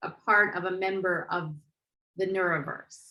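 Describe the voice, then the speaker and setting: A woman speaks loudly at a very slow pace. Her voice sits at a medium pitch with a bright, sharp tone. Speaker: NFT interviewer. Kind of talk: interview. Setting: video call.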